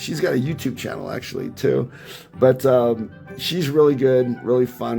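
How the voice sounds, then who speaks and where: Moderate pace over music in the background. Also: man. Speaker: mobile gamer. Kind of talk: casual gameplay tutorial commentary.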